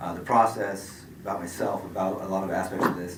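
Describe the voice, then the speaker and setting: A man with a very deep, low voice speaks over noticeable background noise, with audible echo in the room. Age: 50s. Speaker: certified responder facing a certification review. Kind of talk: statement at a hearing. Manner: fast; mumbling.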